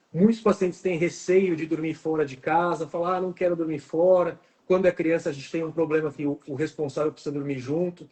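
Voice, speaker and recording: This man has a high-pitched voice. He talks fairly quickly with fairly even intonation. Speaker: oral and maxillofacial surgeon. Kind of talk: live stream interview. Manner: fast.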